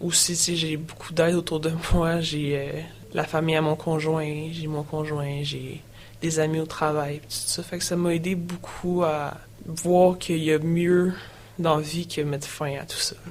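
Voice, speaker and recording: Someone with a Quebec accent speaks at a fairly slow pace in a monotone, flat intonation, with big swings in loudness, audible room echo and noticeable background noise. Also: woman, very deep, low pitch for a woman. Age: young. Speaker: person sharing her mental health story. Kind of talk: testimony. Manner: hesitant, many fillers.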